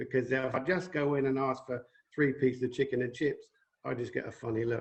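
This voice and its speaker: A man talks at a fairly quick pace in a somewhat breathy voice. His medium pitch carries fairly even intonation. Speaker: woodturner. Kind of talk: interview.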